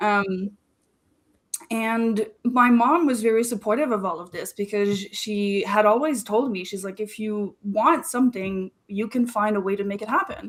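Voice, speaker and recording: In a French Canadian accent, a woman speaks at a fairly high pitch. Her pace is fairly slow, and her pitch varies in an ordinary way. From Quebec, Canada. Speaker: marketing strategist. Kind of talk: interview.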